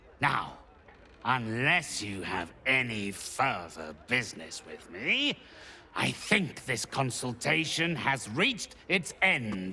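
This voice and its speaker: A man's put-on character voice at medium pitch and a very slow pace. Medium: video game. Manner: measured, condescending.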